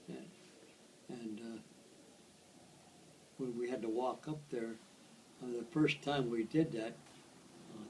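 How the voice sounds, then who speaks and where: Noticeable background noise runs under the clip. A man talks at a medium pitch with ordinary pitch variation. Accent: American. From United States. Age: 80s+. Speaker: World War II veteran. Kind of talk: interview answer.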